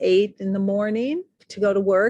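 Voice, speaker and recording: A woman with a normal speaking voice and an American accent, medium pitch, moderate pace, fairly even intonation, dry and close with no echo, over a quiet background. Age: 60s. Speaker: artist. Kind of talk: interview conversation. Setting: outdoors on a street.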